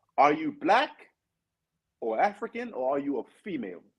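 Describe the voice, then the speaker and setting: A man talks fairly slowly, his voice showing vocal fry and swinging very widely in pitch. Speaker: podcast guest. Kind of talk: panel discussion.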